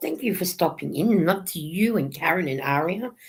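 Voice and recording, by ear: A woman puts on a character voice, hoarse and fairly low in pitch. She talks at a fairly quick pace with ordinary pitch variation.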